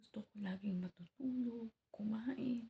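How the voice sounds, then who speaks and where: A soft-spoken, somewhat breathy woman's voice, fairly high in pitch and dark, mellow in tone, with ordinary pitch variation and a dry, close sound with no echo. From Philippines. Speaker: vlogger. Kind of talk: casual vlog update. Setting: at home early morning.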